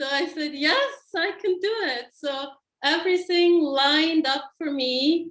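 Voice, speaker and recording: The voice belongs to a woman. Her speech carries a non-native accent. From Switzerland. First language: not English. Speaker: qigong teacher. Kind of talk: personal story on a group video call.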